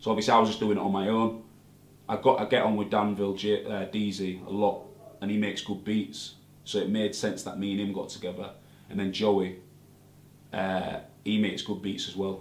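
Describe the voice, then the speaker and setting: In a Hull accent, a man speaks with monotone, flat intonation at a fairly quick pace and fairly low pitch, with audible room echo. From northern England, Hull. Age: 20s. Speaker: rapper. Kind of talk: interview.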